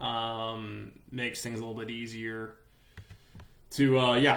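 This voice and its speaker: Noticeable background noise and audible room echo accompany a man speaking at a medium pitch in a monotone, flat intonation. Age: 30s. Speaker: sports journalist. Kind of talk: live stream Q&A. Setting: Facebook live video stream. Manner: casual, with many fillers and repeats.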